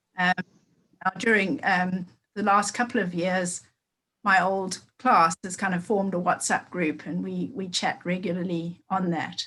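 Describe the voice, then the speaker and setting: Speaking at a fairly slow pace, a woman with a Zimbabwean accent has a medium pitch. Her tone is bright and sharp, and her intonation fairly even. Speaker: meeting participant in a race equality group. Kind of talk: group meeting check-in. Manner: halting, many fillers.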